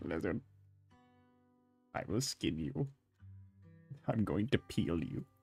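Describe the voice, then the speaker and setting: Over faint music and some hissing, a man puts on a raspy character voice with a fairly low pitch, speaking at a fairly slow pace. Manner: menacing.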